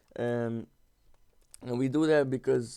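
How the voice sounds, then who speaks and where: With a non-native accent, a man speaks at a medium pitch in a dark, mellow tone and fairly even intonation. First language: not English. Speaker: gaming YouTuber. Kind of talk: casual storytelling over gameplay. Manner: halting, many fillers and repeats; slangy, informal.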